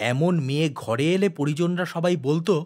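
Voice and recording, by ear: In a very clean recording with a silent background, a man speaks at a fairly slow pace with fairly high pitch. His tone is slightly mellow, and his pitch varies in an ordinary way.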